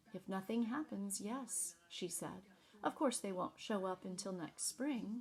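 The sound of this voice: Ordinary pitch movement runs through this unforced reading voice.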